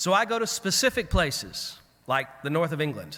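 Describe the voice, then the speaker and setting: A high-pitched man with a Southern US accent, bright and sharp in tone, at a moderate pace with very wide pitch swings. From US South. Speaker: clergy keynote speaker. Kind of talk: keynote address. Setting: conference at a camp with audience. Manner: conversational, storytelling.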